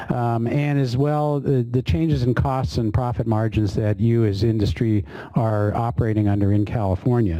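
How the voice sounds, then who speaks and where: Against noticeable background noise, a man speaks at a moderate pace in a medium pitch with lively intonation. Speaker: government official moderating a public workshop. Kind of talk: workshop opening remarks. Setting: meeting room with audience, webinar. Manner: hesitant, many fillers.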